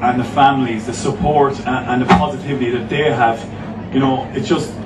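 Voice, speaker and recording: A man at a fairly quick pace with ordinary pitch variation, over loud background noise. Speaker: guest. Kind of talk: public speech. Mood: earnest, inspired. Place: stage.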